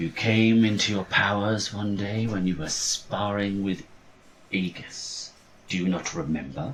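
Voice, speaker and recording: A man puts on a character voice, fairly low in pitch. He speaks at a fairly slow pace. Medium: actual play. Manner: solemn, persuasive.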